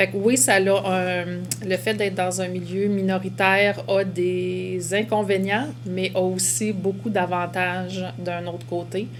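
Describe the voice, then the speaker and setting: Her delivery is very slow and drawn out. The room echoes audibly, and there is noticeable noise behind the woman. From Quebec. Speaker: educator. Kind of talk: testimony.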